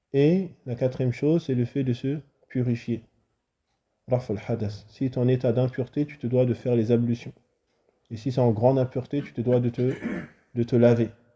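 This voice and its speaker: A man of medium pitch talks at a moderate pace, somewhat breathy, with a dark, mellow tone. His intonation is fairly even, and he leaves long, frequent pauses. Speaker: Islamic religious teacher. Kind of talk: religious lesson.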